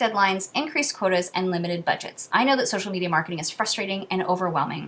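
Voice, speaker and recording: A woman talks at a very fast pace with noticeable background noise behind her. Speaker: social media marketing consultant. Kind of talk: reading aloud.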